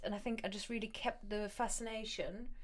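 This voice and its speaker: A woman with a German accent speaks at a moderate pace, her fairly high pitch showing ordinary variation. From Germany, Moselle Valley. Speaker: language coach and podcaster. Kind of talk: interview conversation.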